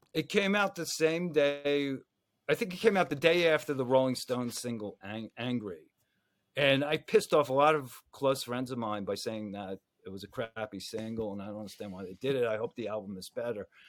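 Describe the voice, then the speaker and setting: An ordinary speaking voice with an American accent, fairly quick and lively in intonation, with big swings in loudness, on a very clean recording against a silent background. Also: man, medium pitch for a man. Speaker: journalist and author. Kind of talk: interview.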